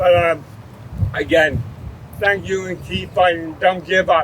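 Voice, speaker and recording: This man has a high voice and talks at a moderate pace with fairly even intonation over noticeable background noise. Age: 60s. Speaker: ALS patient advocate. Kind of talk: public speech. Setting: outdoor rally.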